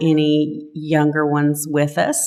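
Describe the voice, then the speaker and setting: A very deep, low female voice in a strong Texas accent, on a very clean recording with a silent background. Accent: thick Texas. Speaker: lay service leader, religious education volunteer. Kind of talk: lay-led church talk.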